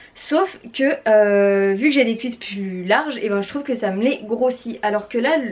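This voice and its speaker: The speaker has an animated tone and ordinary pitch variation, moving at a fairly slow pace. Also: woman, fairly high pitch for a woman. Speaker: fashion YouTuber. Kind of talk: haul and try-on vlog.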